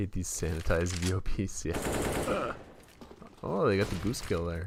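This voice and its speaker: A man speaks at a fairly slow pace in a very deep, low voice with fairly even intonation, over noticeable background noise. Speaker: gaming streamer. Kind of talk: live stream commentary. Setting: live stream. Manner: relaxed.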